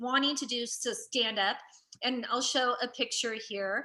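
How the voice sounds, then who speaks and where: Speaking at a fairly slow pace, a woman uses a raised, projected voice with a high pitch. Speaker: comedian. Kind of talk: casual chat. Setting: in person at a museum with remote guest.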